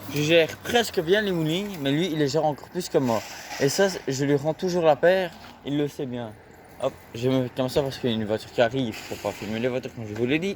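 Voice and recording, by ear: A man speaks at a medium pitch and a fairly quick pace, with ordinary pitch variation.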